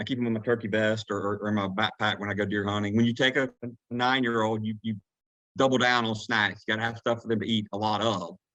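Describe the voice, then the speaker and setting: Talking at a very fast pace, a man with a Southern US accent keeps his fairly low pitch monotone and flat. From Georgia, USA. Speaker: turkey hunting guide. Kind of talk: podcast interview answer. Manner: casual, rambling.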